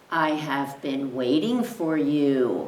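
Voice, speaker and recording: The speaker uses a put-on character voice. The pitch sits low to middle. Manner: wise, ominous.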